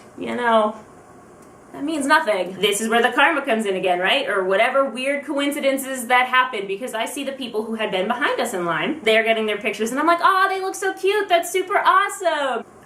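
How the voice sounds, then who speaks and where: Amid noticeable background noise, a woman with a high pitch talks at a fairly quick pace with very wide pitch swings. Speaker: vlogger. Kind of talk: casual talk to camera. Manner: fast; rambling storytelling.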